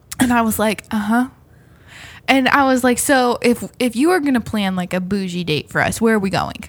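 A woman uses a normal speaking voice at fairly high pitch, with lively intonation and a moderate pace. It is a very clean recording with a silent background. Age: 30s. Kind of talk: casual chat.

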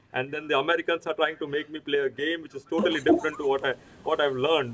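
A man speaks at a very fast clip, his voice fairly high and his pitch moving in an ordinary way. Background noise is noticeable throughout. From India. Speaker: trauma surgeon. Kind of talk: casual chat.

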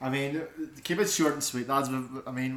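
A man with a Belfast accent talks very fast at a medium pitch, his intonation monotone and flat, with audible room echo around him. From Northern Ireland, West Belfast. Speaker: podcast co-host, media student. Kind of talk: casual chat.

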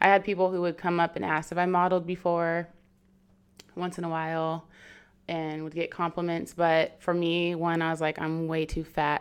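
On a very clean recording with a silent background, a woman with an American accent speaks at a moderate pace in a fairly low pitch with monotone, flat intonation. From US Pacific Northwest, Seattle area. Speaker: model and marketing professional. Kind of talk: casual chat.

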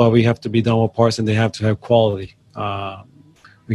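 In a Brazilian accent, a man talks at a moderate pace with monotone, flat intonation. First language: Portuguese. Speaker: job shop owner. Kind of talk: interview. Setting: on location at a business. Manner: halting, many fillers.

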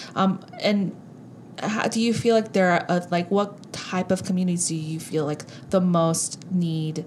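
A woman with an ordinary speaking voice talks at a fairly slow pace, her intonation fairly even. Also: medium pitch for a woman. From Southern California, Korean American (born in South Korea). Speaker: podcast co-host. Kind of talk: casual chat.

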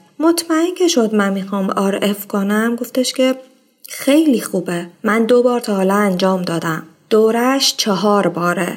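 With a normal speaking voice, a woman talks at a moderate pace, her fairly high pitch carried by lively intonation. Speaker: podcast host. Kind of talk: personal storytelling monologue.

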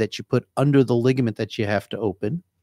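A man with a New Jersey accent speaks at a medium pitch with fairly even intonation. The recording is very clean with a silent background and a dry, close sound with no echo. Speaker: hand surgeon. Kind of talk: casual radio interview. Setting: radio studio.

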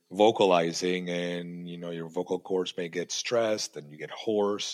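This man has a very deep, low pitch. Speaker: podcast host. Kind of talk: casual interview. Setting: video call.

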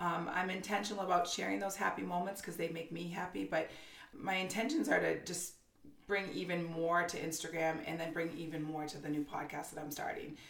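A woman with an American accent talks at a fairly quick pace and ordinary pitch variation. Audible room echo and noticeable background noise are present. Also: fairly low pitch for a woman. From Massachusetts, north of Boston. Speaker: Instagram creator and mother. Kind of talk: casual interview.

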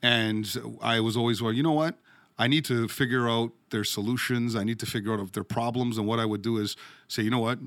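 In a very clean recording with a silent background, a man speaks fairly quickly in a normal speaking voice, with medium pitch and fairly even intonation. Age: 40s. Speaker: mortgage broker, brokerage co-owner. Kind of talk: interview.

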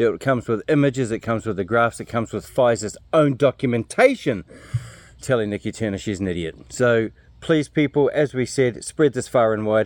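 A man with a medium pitch speaks at a fairly quick pace with ordinary pitch variation, the sound dry and close with no echo. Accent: New Zealand. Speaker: podcast co-host. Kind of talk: interview.

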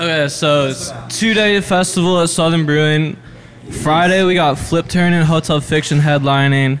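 A man with an ordinary speaking voice, fairly high pitch, moderate pace, very even loudness, and fairly even intonation. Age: young. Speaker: sound engineer. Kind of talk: casual chat.

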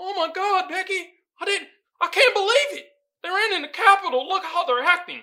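A put-on character voice, female-sounding, at an extremely high pitch for a woman. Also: moderate pace. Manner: mocking, exaggerated shock and disbelief.

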